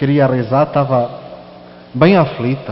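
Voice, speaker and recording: A man speaks at a moderate pace with a European Portuguese accent, his pitch fairly high and its variation ordinary. Noticeable background noise sits behind him. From Portugal. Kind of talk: sermon with personal testimony.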